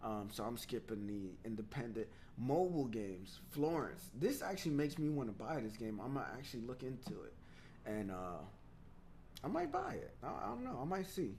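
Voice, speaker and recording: Audible room echo surrounds a man speaking at a medium pitch. His tone is animated and his intonation lively. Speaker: gaming show host. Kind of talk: casual gaming news commentary. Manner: fast.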